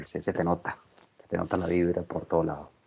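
A man's very deep, low voice at a very fast pace. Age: 40s. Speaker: podcast host. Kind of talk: casual interview chat.

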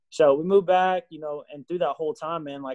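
Speaking at a fairly quick pace, a man with a Texan accent shows ordinary pitch variation. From Texas. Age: 30s. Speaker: high school football coach. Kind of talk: testimony. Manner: casual, hesitant with many fillers.

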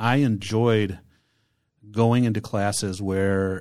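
Recorded very cleanly against a silent background, a man with an American accent uses an unremarkable speaking voice, fairly low in pitch with fairly even intonation. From Michigan, Detroit downriver area. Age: 40s. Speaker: podcast host. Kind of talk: casual chat; giveaway announcement.

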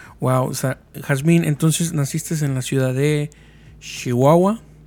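Here a man has an unremarkable speaking voice with fairly high pitch and ordinary pitch variation. He talks at a fairly slow pace. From Mexico. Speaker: podcast host. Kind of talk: casual chat.

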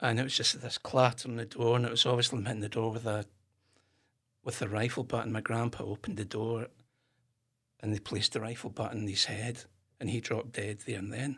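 In a very clean recording with a silent background, a man with a Glasgow accent speaks at a medium pitch. His pace is fairly quick and his intonation monotone and flat, with long, frequent pauses. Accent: Scottish (Glasgow area). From Scotland, Kirkintilloch near Glasgow. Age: 50s. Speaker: whisky shop owner, former historian. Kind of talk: casual interview.

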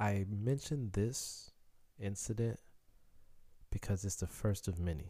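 On a very clean recording with a silent background, a man with a Haitian accent speaks at a fairly slow pace and fairly low pitch, his dark, mellow, somewhat breathy voice holding very even loudness and ordinary pitch variation through long, frequent pauses. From Chicago, US. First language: Haitian Creole. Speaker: podcaster telling life story. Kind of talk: personal storytelling monologue.

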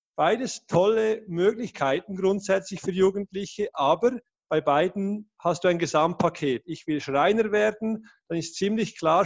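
A fairly slow delivery with ordinary pitch variation, a dry, close sound with no echo, and a quiet background. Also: man. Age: 30s. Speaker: education project founder. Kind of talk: interview.

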